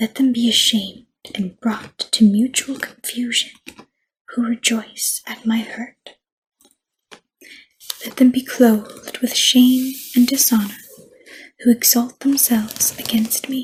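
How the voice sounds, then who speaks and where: The speaker is soft-spoken, moving at a fairly slow pace with long, frequent pauses. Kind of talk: ASMR scripture reading.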